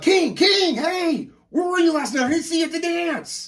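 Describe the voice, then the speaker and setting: A man performs a put-on character voice at an extremely high pitch. He keeps a moderate pace. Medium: actual play. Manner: energetic, fast, excitable.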